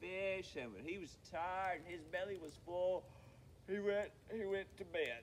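A natural voice reading aloud

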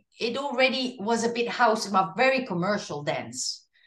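A woman with a Dutch accent speaks with ordinary pitch variation, with audible room echo and a quiet background. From Netherlands. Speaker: singer. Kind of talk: interview. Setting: video call.

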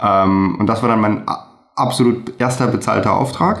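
A man with an unremarkable speaking voice talks at a moderate pace and fairly low pitch, with ordinary pitch variation and a quiet background. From Germany, Remscheid (North Rhine-Westphalia); North Rhine-Westphalia. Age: 30s. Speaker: videographer; guest. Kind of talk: interview. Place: home room. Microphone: webcam.

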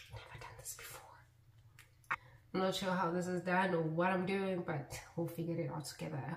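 A woman with a fairly low pitch speaks at a moderate pace with fairly even intonation but big swings in loudness, with audible room echo and light background noise. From South Africa, Mpumalanga (Malelane); Mpumalanga, South Africa. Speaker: YouTuber; vlogger. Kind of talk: casual chat. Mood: playful, self-mocking. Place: bathroom. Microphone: phone near.

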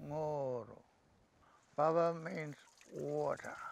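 A man's voice with light background noise. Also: dry sound with no echo. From Upper Gascoyne, Western Australia. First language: Thiin. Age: 80s. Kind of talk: interview answer, storytelling. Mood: calm, reflective, proud. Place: open country.

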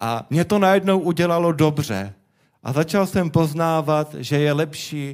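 A man speaks with a Czech accent and ordinary pitch variation. The background is quiet. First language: Czech (speaking Slovak). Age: young. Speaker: guest. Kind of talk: testimony. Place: church. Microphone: handheld.

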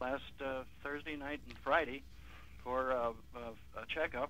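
Here a man talks at a fairly slow pace in a bright, sharp tone with fairly even intonation and a dry sound with no echo. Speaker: caller. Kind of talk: casual chat.

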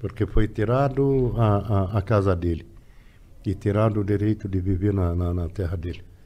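In an Arabic accent, a man speaks at a moderate pace with a dark, mellow tone, fairly low pitch, ordinary pitch variation and a somewhat breathy quality. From Lebanon. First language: Arabic (speaking Portuguese). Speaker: immigrant interviewee; interviewee. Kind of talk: casual interview. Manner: halting, repeating words. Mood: serious, reflective. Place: studio. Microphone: studio mic.

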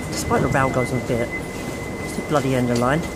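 A man is speaking. Loud background noise fills the clip. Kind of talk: casual vlog commentary. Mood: enthusiastic, upbeat. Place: station. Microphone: phone near.

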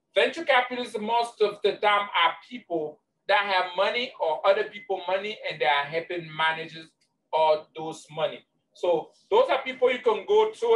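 Over light background noise, a man talks at a moderate pace in a high voice. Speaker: business trainer. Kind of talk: lecture. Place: office. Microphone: webcam.

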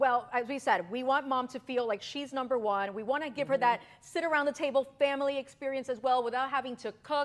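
A woman with an American accent talks very fast in an animated tone, her high-pitched voice moving with ordinary pitch variation. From Miami, Florida. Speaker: TV host and lifestyle expert; TV host. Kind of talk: sponsored interview. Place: studio. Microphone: lapel.

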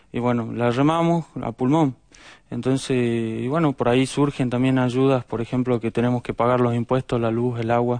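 With a dry, close sound and no echo, a man speaks in a flat monotone at medium pitch and a moderate pace. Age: 20s. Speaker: volunteer firefighter. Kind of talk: TV interview.

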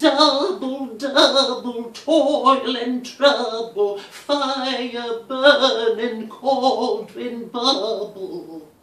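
A put-on character voice, fairly high in pitch, at a very slow pace with hardly any pauses and a slight echo.

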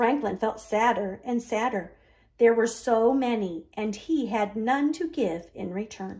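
The pitch varies in an ordinary way during this plain reading aloud.

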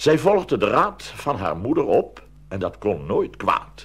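A man talks at a slow pace with very wide pitch swings and vocal fry.

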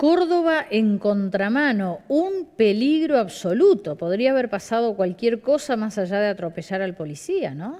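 A woman talks at a moderate pace with few pauses and a fairly high pitch. Her voice has big pitch swings and a slightly mellow tone.

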